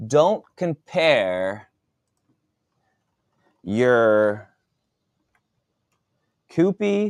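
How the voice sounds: A man puts on a character voice at a medium pitch, with big pitch swings, vocal fry and a clear, smooth tone. He talks very slowly, with long, frequent pauses.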